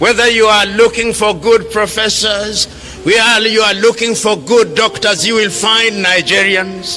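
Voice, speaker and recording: A man with a high voice speaks at a fairly slow pace, raised and projected. His tone is passionate, with music in the background. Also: fairly even intonation. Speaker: public speaker and lecturer on African politics. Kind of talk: public political speech to an audience. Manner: passionate, rhetorical, impassioned.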